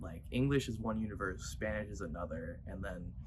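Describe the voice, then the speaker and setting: Fairly low male voice with vocal fry, very wide pitch swings and a fairly quick pace, plus audible room echo. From US, Cuban heritage. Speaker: content creator and musician. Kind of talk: casual vlog monologue. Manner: casual, filler-heavy.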